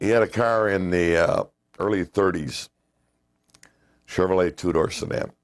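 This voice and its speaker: An American accent comes through a very clean recording with a silent background, delivered at a moderate pace with ordinary pitch variation and long, frequent pauses. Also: man, very deep, low pitch for a man. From North Side of Chicago. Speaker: retired union janitor and boiler fireman. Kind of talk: oral history interview answer.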